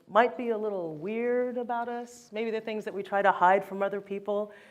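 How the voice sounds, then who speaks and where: With an unremarkable speaking voice, a woman talks in a fairly high pitch with ordinary pitch variation. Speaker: author and photographer. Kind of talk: keynote talk.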